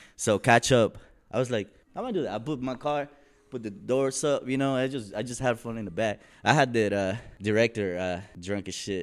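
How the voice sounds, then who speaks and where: Fairly quick speech in an American accent with ordinary pitch variation, on a very clean recording with a silent background. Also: man, medium pitch for a man. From El Salvador and Ogden, Utah. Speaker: rapper. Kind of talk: casual interview. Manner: halting, many fillers.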